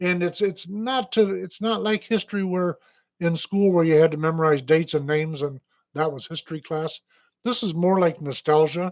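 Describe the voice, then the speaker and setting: With an Upper Midwest accent, a man speaks in a high voice at a moderate pace, his pitch varying in an ordinary way against a quiet background. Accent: Upper Midwest American. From Michigan. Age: 60s. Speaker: radio host. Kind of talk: casual chat. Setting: studio.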